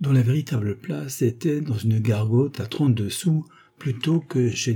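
The clip features a natural reading voice whose pitch variation is ordinary.

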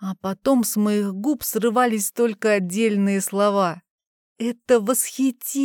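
Over a quiet background, a passage is read aloud in a natural voice.

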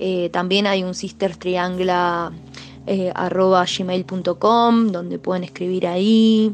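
A woman with an Argentine accent speaks at a very slow pace with hardly any pauses, holding a medium pitch and a monotone, flat intonation. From Argentina, Chubut (Patagonia). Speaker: musician. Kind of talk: interview answers. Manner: hesitant, many fillers.

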